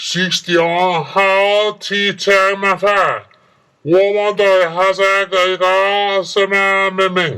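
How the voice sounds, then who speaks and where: Speaking in a put-on character voice, a man uses a high pitch, a very slow pace, monotone, flat intonation, and very even loudness. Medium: audio drama. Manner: speaks a garbled foreign-sounding tongue.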